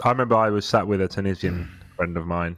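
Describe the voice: Recorded very cleanly against a silent background, a man speaks with a very deep, low pitch and fairly even intonation. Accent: British.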